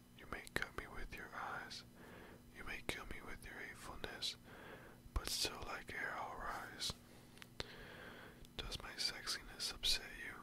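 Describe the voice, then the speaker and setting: Whispering at a fairly slow pace, the voice takes long, frequent pauses and swings widely in loudness. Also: man. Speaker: ASMR creator. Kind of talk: poetry reading. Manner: whispered, soft, up close. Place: home room. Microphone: studio mic.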